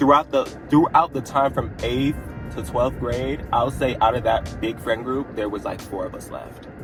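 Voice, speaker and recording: With music in the background, a man talks at a medium pitch. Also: ordinary pitch variation, moderate pace. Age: young. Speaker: college freshman. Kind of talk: casual talk to camera. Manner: frank, informal.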